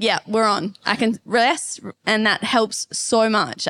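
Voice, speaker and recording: In a very clean recording with a silent background and a dry, close sound with no echo, a woman with an Australian accent speaks at a fairly high pitch with fairly even intonation. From Perth, Western Australia. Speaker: pole vaulter and online fitness coach. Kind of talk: casual interview. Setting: live at a fitness retreat in Bali.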